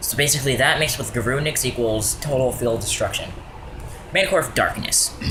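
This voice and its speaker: A man at medium pitch with lively intonation and a fairly quick pace, recorded with audible room echo and noticeable background noise. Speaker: card game youtuber. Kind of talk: deck profile tutorial. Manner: fast; hesitant, many fillers.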